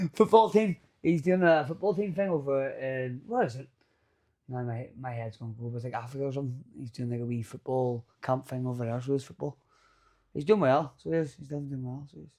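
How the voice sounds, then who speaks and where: With a Northern Irish accent, a man talks at a very fast pace in a dark, mellow tone. His loudness swings widely. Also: medium pitch for a man, lively intonation. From Northern Ireland, County Antrim. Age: 30s. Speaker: boxer and fight promoter. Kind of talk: casual chat. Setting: studio.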